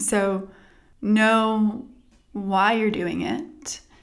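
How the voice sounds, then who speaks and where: Someone speaks in an American accent with audible room echo. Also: woman. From Texas. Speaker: physical therapist. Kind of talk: interview.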